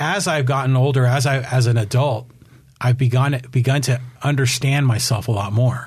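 Medium in pitch and somewhat breathy, the man speaks at a moderate pace. His intonation is fairly even and his loudness very even. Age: 50s. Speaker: podcast host. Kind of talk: interview.

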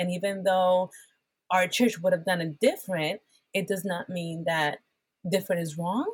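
With a Spanish accent, a woman speaks at a medium pitch. Her voice is somewhat breathy and her pace moderate. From Puerto Rico. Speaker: worship pastor. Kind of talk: conversational interview that turns into preaching. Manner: animated, preacher-like.

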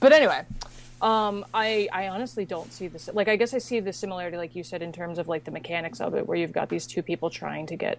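A woman with vocal fry and a fairly low pitch talks at a fairly quick pace with lively intonation. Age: 20s. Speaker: animation podcast guest. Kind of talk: casual chat.

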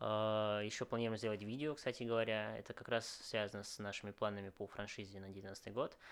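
A man with a fairly low pitch talks at a fairly quick pace, with hardly any pauses and monotone, flat intonation. The recording is very clean, with a silent background. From Moscow, Russia. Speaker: restaurant chain founder. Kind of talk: interview. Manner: hesitant, many fillers.

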